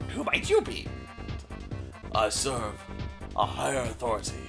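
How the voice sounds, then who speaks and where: A gruff, low-pitched put-on character voice at a moderate pace, with clear music in the background. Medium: game stream. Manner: grave, serious.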